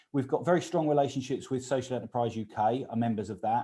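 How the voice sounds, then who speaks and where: With a dark, mellow tone, a man speaks at a medium pitch. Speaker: business consultant. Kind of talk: presentation at an online meeting. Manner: fast.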